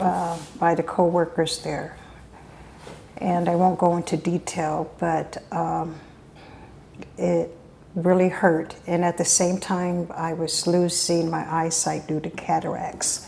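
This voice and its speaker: At a very slow pace with long, frequent pauses, a woman speaks in a fairly low, monotone, flat voice with vocal fry. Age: 60s. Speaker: army veteran. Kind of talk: testimony.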